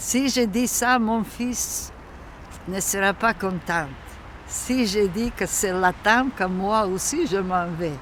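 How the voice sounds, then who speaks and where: With a Macedonian accent, a woman speaks very slowly at a medium pitch with ordinary pitch variation. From North Macedonia, Strumica. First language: Macedonian (speaking French). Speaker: immigrant elder telling her life story. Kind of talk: documentary interview, life story. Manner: halting.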